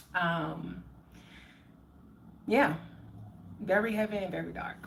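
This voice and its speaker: With an American accent, a woman talks in a relaxed tone at a very slow pace, with audible room echo. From New Orleans, US South. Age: 30s. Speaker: spiritual livestreamer. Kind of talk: casual livestream chat. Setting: live stream. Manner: relaxed, chatty.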